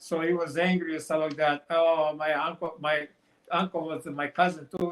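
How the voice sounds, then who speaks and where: A man's high-pitched voice with a Montenegrin accent. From Montenegro. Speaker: author. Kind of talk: interview answer.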